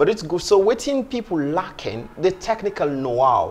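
The pitch of this man's voice swings very widely. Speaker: guest. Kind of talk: interview answer. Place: studio. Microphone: lapel.

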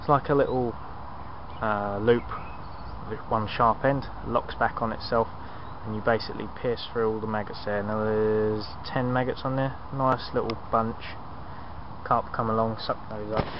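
A man speaks in a monotone, flat intonation at a moderate pace, with long, frequent pauses. The sound is dry with no echo, though noticeable background noise comes through. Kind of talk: casual vlog chat. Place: tent. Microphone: phone near.

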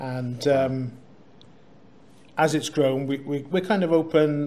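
Light background noise behind a man speaking. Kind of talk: interview answer. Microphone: studio mic.

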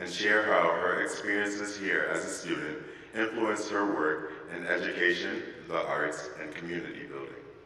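A man speaks at a moderate pace, and audible room echo can be heard around him. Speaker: student event emcee. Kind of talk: formal introduction. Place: church. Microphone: podium.

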